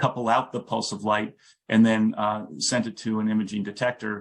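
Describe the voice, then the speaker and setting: With fairly even intonation, a man speaks at a medium pitch. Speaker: physicist. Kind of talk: lecture. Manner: fast; halting, many fillers and restarts.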